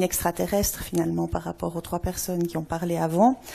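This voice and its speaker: A woman with a Swiss accent is heard on a very clean recording with a silent background. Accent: noticeable foreign accent, Swiss. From Switzerland. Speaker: anthropologist. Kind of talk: conference talk. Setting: stage with audience.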